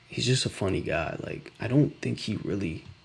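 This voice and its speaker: Soft-spoken and whispering, a man talks at a fairly slow pace with vocal fry. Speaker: startup founder live streamer. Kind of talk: live stream reaction commentary. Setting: at home, late night. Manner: whispering, soft-spoken; casual, halting.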